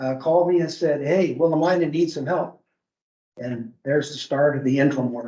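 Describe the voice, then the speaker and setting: A man with an American accent, fairly high pitch, dark, mellow tone, ordinary pitch variation and moderate pace. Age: 70s. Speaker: retired fire chief, job candidate. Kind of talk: job interview. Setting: board meeting. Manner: hesitant, many fillers.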